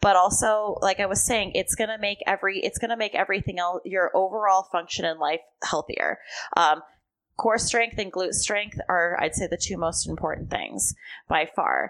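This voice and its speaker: Against a quiet background, a woman with a Californian accent talks at a moderate pace, her medium-pitched voice fairly even in intonation. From US West Coast, Southern California. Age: 20s. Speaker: strength and conditioning coach. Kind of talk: casual interview chat. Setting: in person, sit-down recording.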